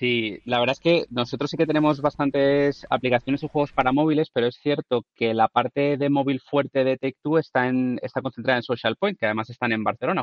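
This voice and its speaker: This man's speech moves very fast. Its intonation is fairly even. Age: 30s. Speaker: video game industry worker. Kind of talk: casual chat.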